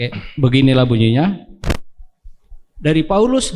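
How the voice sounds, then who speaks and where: A man is speaking. His pace is moderate. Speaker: scripture reader in church. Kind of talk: scripture reading. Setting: church service, livestreamed.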